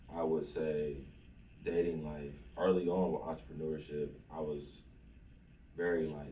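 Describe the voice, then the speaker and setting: A somewhat breathy man with an American accent, very deep and low in pitch, dark and mellow in tone, monotone and flat, with long, frequent pauses and audible room echo. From Oklahoma, Lawton. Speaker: entrepreneur. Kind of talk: interview.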